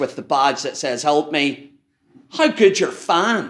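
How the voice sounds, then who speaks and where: Fairly slowly and with a fairly high pitch, a man talks. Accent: strong Irish. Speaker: lighting industry technical manager. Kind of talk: technical presentation to audience. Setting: stage with audience. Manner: conversational, interactive.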